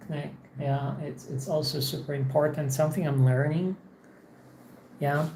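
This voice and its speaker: This woman's voice sits very deep and low. Audible room echo surrounds it. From Poland. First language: Polish. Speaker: English teacher streamer. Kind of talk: casual livestream monologue. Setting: home office. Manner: halting, many repetitions.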